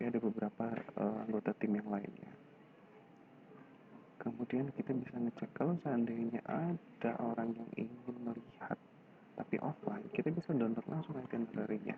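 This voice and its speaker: A man whispering at a moderate pace. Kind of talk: screen-recorded website tutorial. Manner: whispered.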